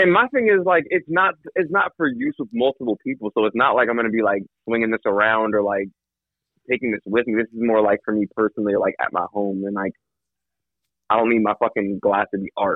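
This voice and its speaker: A man with a plain, everyday voice speaks at a fairly quick clip in a medium pitch. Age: 30s. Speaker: podcast guest. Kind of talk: casual chat.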